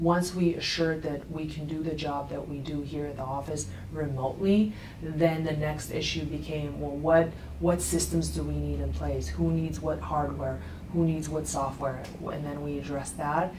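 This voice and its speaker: Audible room echo and noticeable background noise surround a woman talking at a moderate pace. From Russia. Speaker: attorney. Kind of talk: TV interview.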